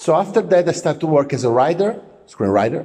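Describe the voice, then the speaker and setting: This man talks at a moderate speed, his intonation lively throughout. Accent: Italian. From Italy. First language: Italian. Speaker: film producer. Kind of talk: self-introduction monologue. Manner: halting, many filler words.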